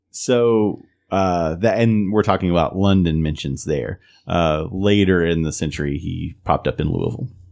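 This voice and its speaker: On a very clean recording with a silent background, a man with an Appalachian accent speaks at a very deep, low pitch with ordinary pitch variation. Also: moderate pace. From Eastern Kentucky. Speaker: podcast co-host. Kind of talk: casual chat. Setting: studio.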